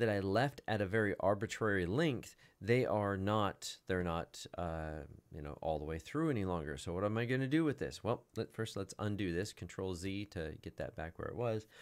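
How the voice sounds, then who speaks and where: With a plain, everyday voice, a man speaks at fairly low pitch and a moderate pace with lively intonation on a very clean recording with a silent background. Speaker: software tutorial instructor. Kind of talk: tutorial. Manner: casual.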